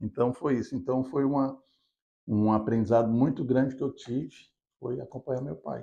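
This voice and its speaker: A man's medium-pitched voice, dark and mellow, at a moderate pace with ordinary pitch variation. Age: 60s. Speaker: business founder. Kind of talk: interview.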